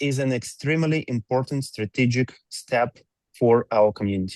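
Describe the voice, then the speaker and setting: With a non-native accent, a man speaks at a medium pitch and moderate pace with ordinary pitch variation, the sound dry and close with no echo against a quiet background. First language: not English. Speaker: company executive presenting to community. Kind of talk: reading aloud a prepared presentation. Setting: video call. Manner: halting, with fillers.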